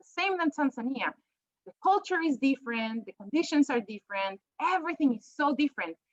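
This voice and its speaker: With a strong Peruvian accent, a high-pitched woman swings her pitch very widely, recorded with a dry, close sound and no echo. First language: Spanish. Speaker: professor. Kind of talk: panel presentation.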